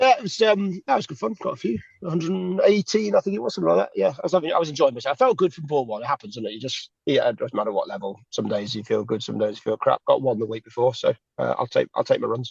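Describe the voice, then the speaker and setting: In an English accent, a man speaks at a very fast pace, the sound dry and close with no echo. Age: 40s. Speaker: cricket podcast co-host. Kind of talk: casual chat.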